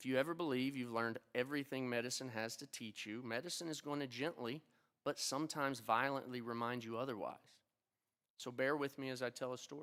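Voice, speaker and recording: Talking at a very fast pace, a man speaks with an Appalachian accent. His pitch is medium and his intonation fairly even. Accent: Appalachian twang. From Appalachia (eastern Kentucky, 606 area code). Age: old. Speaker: physician, oculoplastic surgeon and teacher. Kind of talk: ceremony speech. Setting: stage with audience at a convention center. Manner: formal.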